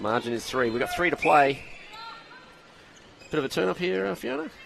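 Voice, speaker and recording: A man with a Queensland accent speaks at a fairly quick pace with lively intonation. Noticeable background noise can be heard. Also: medium pitch for a man. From Queensland, Australia. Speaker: sports commentator. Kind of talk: live commentary. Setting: stadium commentary.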